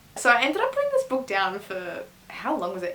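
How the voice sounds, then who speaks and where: An Australian accent from a woman at a moderate pace, with noticeable background noise. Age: 20s. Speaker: book reviewer. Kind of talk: casual talk to camera.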